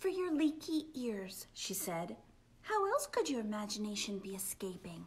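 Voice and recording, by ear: Reading aloud in a natural voice, start to finish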